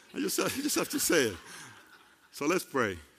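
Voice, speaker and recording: This man speaks with a Puerto Rican accent. His pace is moderate. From Puerto Rico. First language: Spanish. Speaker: preacher. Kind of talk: sermon. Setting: church. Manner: halting, with grammar slips.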